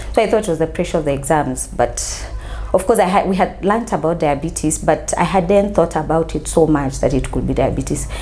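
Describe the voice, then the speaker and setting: Female speaker, fairly quick pace, noticeable background noise. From Kenya, Mombasa. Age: 30s. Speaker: counseling psychologist sharing diabetes story. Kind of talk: interview testimony.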